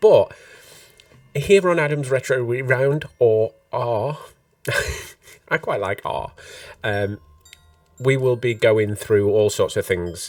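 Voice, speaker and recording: The man talks at a very slow pace. Long pauses come often. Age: 40s. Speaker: podcast host. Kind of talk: casual chat. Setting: live stream.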